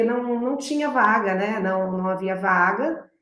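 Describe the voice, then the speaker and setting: A woman with a São Paulo interior accent speaks at a moderate pace. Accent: São Paulo interior accent, rhotic r. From interior of São Paulo state, Presidente Prudente. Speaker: public prosecutor. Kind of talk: interview.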